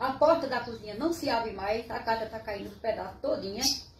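A woman at a fairly quick pace with ordinary pitch variation, light background noise and audible room echo. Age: 80s+. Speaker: resident making appeal. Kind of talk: resident's appeal to camera. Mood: worried, pleading. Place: home room. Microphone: phone near.

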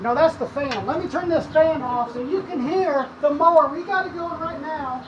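Amid noticeable background noise, a woman with a high pitch talks with hardly any pauses and big swings in loudness. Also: ordinary pitch variation, moderate pace. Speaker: son reviewing mower. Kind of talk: casual mock review talk to camera.

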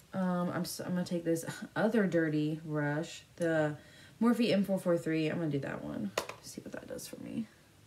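A woman talks at a moderate pace with lively intonation and big swings in loudness. Noticeable background noise runs underneath. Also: fairly low pitch for a woman. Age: 20s. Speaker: beauty YouTuber. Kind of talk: makeup tutorial. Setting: home filming to camera. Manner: animated, giggly.

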